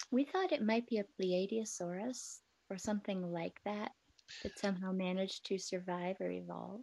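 With an American accent, a woman of medium pitch speaks in a dark, mellow tone with fairly even intonation. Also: moderate pace. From US Midwest, Wisconsin. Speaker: podcast co-host. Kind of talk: casual chat. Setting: live video stream.

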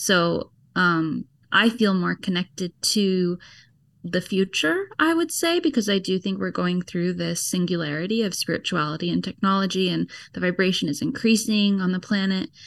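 A woman with an American accent and a normal speaking voice talks at medium pitch and a moderate pace, with ordinary pitch variation against a quiet background. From US, Georgia. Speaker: online spiritual community leader. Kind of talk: interview.

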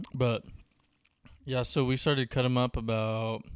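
At a fairly slow pace and medium pitch, a man speaks in a monotone, flat way, the sound dry and close with no echo. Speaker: podcast host. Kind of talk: casual banter podcast chat. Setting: studio.

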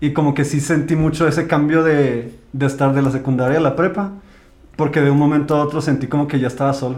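A man's fairly high, monotone voice with flat intonation, very even loudness and audible room echo. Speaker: podcast co-host. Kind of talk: casual chat.

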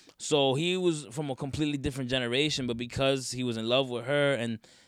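In a very clean recording with a silent background, a man speaks with an American accent and a plain, everyday voice. His pitch is medium, his intonation fairly even, and his pace fairly quick. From northern New Jersey. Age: 20s. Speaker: musician. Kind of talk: casual chat.

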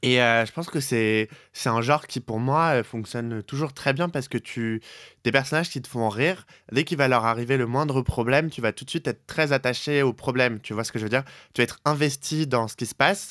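A man's plain, everyday voice at a medium pitch, with ordinary pitch variation, a fairly quick pace and a dry, close sound free of echo. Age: 20s. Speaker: podcast co-host. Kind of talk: casual chat. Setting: Skype call.

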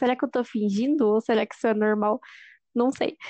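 Talking at a fairly quick pace with a Brazilian interior accent, a woman has a dark, mellow tone, recorded with a dry, close sound, no echo and a quiet background. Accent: caipira (inland Brazilian). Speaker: podcast co-host. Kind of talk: casual chat.

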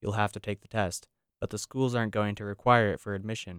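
A man with an ordinary speaking voice is heard on a very clean recording with a silent background and a dry, close sound with no echo. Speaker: student news reporter.

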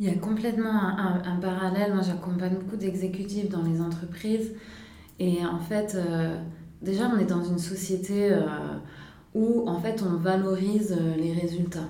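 Amid noticeable background noise and audible room echo, a woman at medium pitch speaks fairly slowly in a monotone, flat way. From southern France, Nice. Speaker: career coach. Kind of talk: casual interview conversation.

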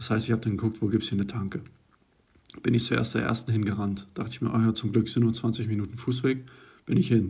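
With long, frequent pauses between fairly quick stretches of speech, a man sounds somewhat breathy, with ordinary pitch variation. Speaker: university student, podcast co-host. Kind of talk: casual chat.

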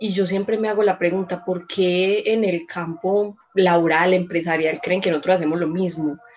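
Music plays in the background. A woman speaks at medium pitch with fairly even intonation. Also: moderate pace. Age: 30s. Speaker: social worker and educator. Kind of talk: casual chat.

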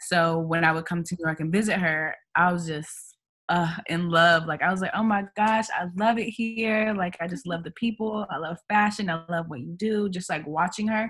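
On a very clean recording with a silent background, a woman with an unremarkable speaking voice, a fairly low pitch and an American accent speaks at a moderate pace with ordinary pitch variation. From US Midwest, Kansas City, Missouri. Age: 20s. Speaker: author and entrepreneur. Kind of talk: casual interview.

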